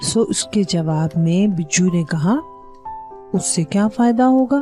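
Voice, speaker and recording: Pitch swings very widely while music plays in the background. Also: woman. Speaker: storyteller. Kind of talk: children's story narration.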